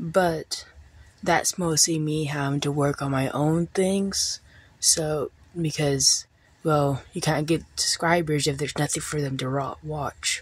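A quiet woman talks at a fairly slow pace. Her very deep, low voice holds a fairly even intonation. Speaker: small YouTuber. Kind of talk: casual vlog talk to camera. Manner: quiet, keeping voice down; halting, many fillers.

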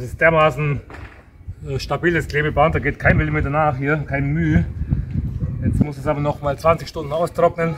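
Against faint background noise, a man talks at a fairly high pitch with fairly even intonation. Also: fairly quick pace.

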